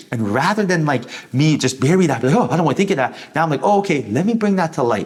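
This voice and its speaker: A man's animated voice, very fast, with very wide pitch swings and noticeable background noise. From war-torn country, came as refugee. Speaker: tarot reader. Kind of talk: tarot reading monologue.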